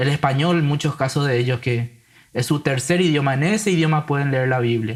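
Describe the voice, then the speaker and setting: Fairly high for a man and somewhat breathy, his voice moves at a fairly quick pace with very even loudness on a very clean recording with a silent background. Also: ordinary pitch variation. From Paraguay (grew up in San Lorenzo). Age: 20s. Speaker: Bible translator. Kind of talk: casual interview conversation.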